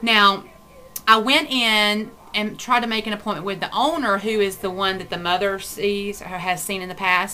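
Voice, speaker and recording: Ordinary pitch variation at a moderate pace. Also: woman, medium pitch for a woman. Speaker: vlogger. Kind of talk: casual vlog talk. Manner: hesitant with many fillers.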